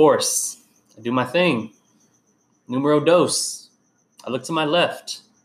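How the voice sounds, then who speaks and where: A man with a fairly high voice speaks at a fairly slow pace, leaving long, frequent pauses. His loudness swings widely while his pitch varies in an ordinary way. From Whittier, California. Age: 20s. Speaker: podcast host and therapist. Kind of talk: casual interview chat.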